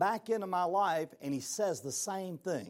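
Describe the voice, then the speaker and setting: Very slow speech with a Southern US accent on a very clean recording with a silent background. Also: man. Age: 60s. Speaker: motivational speaker. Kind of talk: motivational talk. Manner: animated.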